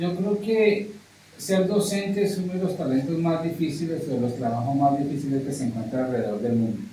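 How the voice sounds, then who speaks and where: Fairly high-pitched, a man with an English accent speaks at a fairly quick pace. Noticeable background noise and audible room echo fill the recording. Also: lively intonation. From US, New York (Brooklyn). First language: English (speaking Spanish). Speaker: English teacher. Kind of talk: interview. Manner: halting, with fillers and repetitions.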